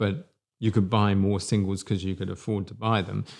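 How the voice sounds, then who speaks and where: A man speaks with an English accent at a fairly low pitch. The recording is very clean, with a silent background. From England. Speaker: podcast co-host. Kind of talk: casual chat. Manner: halting.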